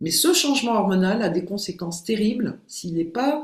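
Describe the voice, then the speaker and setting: The voice is a woman's, somewhat breathy. It sits at a medium pitch. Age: 60s. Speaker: behavioural coach and hypnotherapist. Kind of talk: podcast interview.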